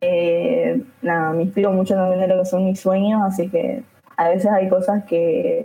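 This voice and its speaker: A woman with an unremarkable speaking voice talks at a medium pitch and a fairly slow pace, her loudness very even and her pitch variation ordinary. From Argentina, Chaco. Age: 20s. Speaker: photographer. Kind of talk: casual chat. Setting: live stream.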